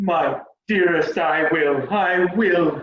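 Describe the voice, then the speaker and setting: Putting on a character voice, a man talks with a high pitch and fairly even intonation, with a slight echo. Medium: stage play.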